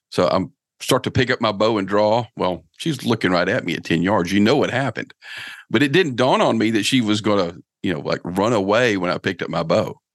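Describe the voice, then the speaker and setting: Set against a quiet background, an ordinary speaking voice shows ordinary pitch variation. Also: man, fairly low pitch for a man. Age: 50s. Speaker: bowhunter and outdoor podcast host. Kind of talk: casual interview chat.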